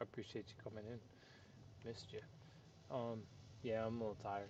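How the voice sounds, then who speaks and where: Soft-spoken and dark, mellow in tone, a man with a fairly low pitch talks at a very fast pace in a monotone, flat intonation, with long, frequent pauses. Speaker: gaming streamer. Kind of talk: live gameplay stream chat.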